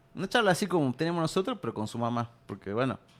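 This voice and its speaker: The speaker uses lively intonation with a Salta accent. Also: man. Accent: Salta accent, kept. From Salta, northwest Argentina. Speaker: writer and poet. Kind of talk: interview.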